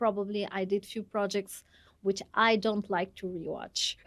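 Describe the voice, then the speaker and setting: A woman speaks at medium pitch with a Russian accent. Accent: Russian-accented Bangla. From Russia, Moscow. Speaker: dancer and entrepreneur. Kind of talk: podcast interview.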